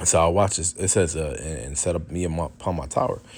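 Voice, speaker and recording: Very clean, with a silent background, this recording has a man speaking at a moderate pace. His pitch is very deep and low, with vocal fry. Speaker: street preacher / religious commentator. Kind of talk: religious teaching with scripture reading. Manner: halting, many repetitions and fillers.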